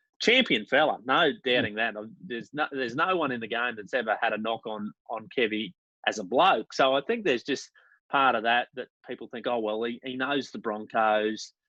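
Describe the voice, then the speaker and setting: The speaker has a Queensland accent, a moderate pace, and ordinary pitch variation. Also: man, medium pitch for a man. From Queensland, Australia. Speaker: sports podcast co-host. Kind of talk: casual chat. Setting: video call.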